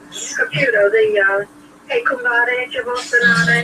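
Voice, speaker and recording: Against noticeable background noise, a woman with a high pitch speaks with lively intonation. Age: 70s. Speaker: caller. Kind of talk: casual chat.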